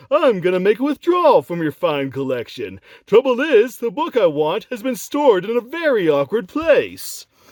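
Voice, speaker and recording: A put-on character voice at a moderate pace, in a very clean recording with a silent background. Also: man. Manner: scheming, sly.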